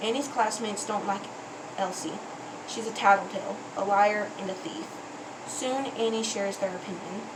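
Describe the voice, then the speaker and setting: A woman's medium-pitched voice at a moderate pace, fairly even in intonation, with long, frequent pauses, audible room echo and noticeable background noise. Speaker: YouTuber reading books aloud. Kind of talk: reading aloud; casual chat. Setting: bedroom. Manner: halting.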